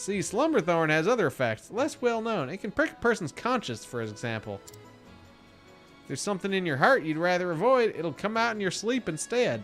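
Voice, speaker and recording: A man puts on a character voice, high-pitched and drawling, with very wide pitch swings. He goes at a moderate pace while clear music plays behind him. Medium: game stream. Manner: folksy, drawling.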